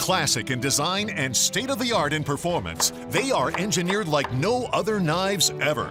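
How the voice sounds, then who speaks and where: Music plays behind a man who speaks at a moderate pace in a high pitch with very wide pitch swings. His loudness stays very even, with hardly any pauses. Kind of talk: TV commercial read.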